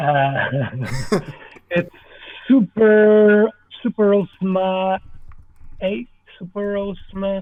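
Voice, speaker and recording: The speaker talks in a French Canadian accent with ordinary pitch variation. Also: man. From French Canada. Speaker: movie director and stop motion artist. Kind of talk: podcast interview answer.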